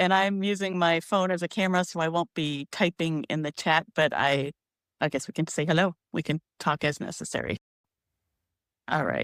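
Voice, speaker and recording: In a dry, close sound with no echo, a woman with a normal speaking voice talks at a moderate pace, her fairly low pitch carrying fairly even intonation. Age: 50s. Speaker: poet and memoir writer. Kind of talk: casual livestream chat.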